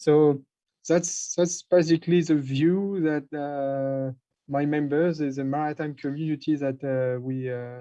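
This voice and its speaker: A man's fairly high, dark and mellow voice with a French accent, at a fairly slow pace and with fairly even intonation. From France. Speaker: maritime industry representative. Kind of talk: panel discussion. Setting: online conference. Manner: halting.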